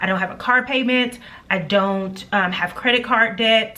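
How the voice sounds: At a moderate pace, a woman talks in a bright, sharp tone with ordinary pitch variation and audible room echo.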